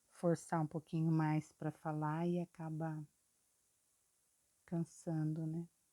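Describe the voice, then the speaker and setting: Soft-spoken and very slow, a woman talks in a fairly low, dark, mellow voice, the sound dry and close with no echo. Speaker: painting teacher. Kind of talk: tutorial.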